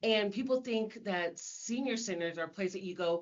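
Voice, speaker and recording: At a moderate pace, a woman talks in an ordinary speaking voice of medium pitch, her intonation lively. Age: 60s. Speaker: senior center coordinator. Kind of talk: podcast interview.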